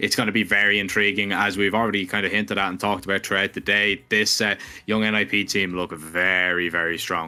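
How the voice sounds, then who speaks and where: Almost without pauses, a man with a fairly low pitch rattles along at a very fast pace in a bright, sharp tone and monotone, flat intonation, recorded very cleanly against a silent background. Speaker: esports caster. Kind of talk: live commentary. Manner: stumbling over words.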